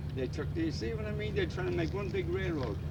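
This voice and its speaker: Noticeable background noise and audible room echo accompany a man who speaks with ordinary pitch variation. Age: 70s. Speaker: retired railroader. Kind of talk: casual chat.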